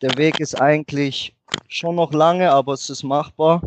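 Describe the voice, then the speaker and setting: A man speaking in a monotone, flat intonation. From Germany. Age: 20s. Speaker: football player and club office manager. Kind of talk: podcast interview. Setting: Skype call.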